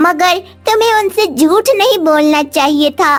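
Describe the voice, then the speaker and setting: In a cartoonish character voice at an extremely high pitch, the speaker goes at a fairly slow pace while faint music plays in the background. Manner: gentle, caring.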